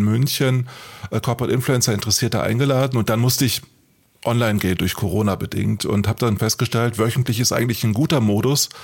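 A man at a very fast pace, with very even loudness and fairly even intonation. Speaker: podcast co-host, author. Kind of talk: casual chat. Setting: studio.

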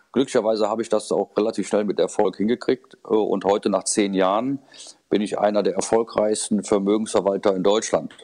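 The speech moves at a fairly quick pace in a monotone, flat intonation. Its tone is dark and mellow. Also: man, fairly low pitch for a man. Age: 50s. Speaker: fee-only financial adviser. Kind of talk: interview. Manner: hesitant, many fillers.

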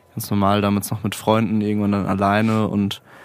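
A man is speaking. His pace is fairly quick. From Mannheim, Germany. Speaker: musician. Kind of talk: casual chat.

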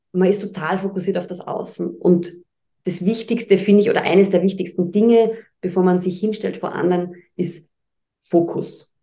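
A woman's medium-pitched, monotone, flat voice at a moderate pace, with music in the background. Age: 40s. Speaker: presenter and speech trainer. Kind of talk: podcast interview.

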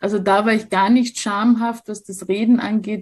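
Somewhat breathy, the voice moves along at a moderate pace. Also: woman. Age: 40s. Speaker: social worker and sex educator. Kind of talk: interview.

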